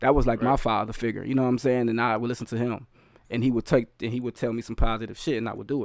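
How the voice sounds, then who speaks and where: At a very fast pace, a man talks in a monotone, flat way at medium pitch, the sound dry with no echo and the background quiet. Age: 30s. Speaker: rapper and youth educator. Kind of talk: casual chat. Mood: earnest, reflective. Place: home room. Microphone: studio mic.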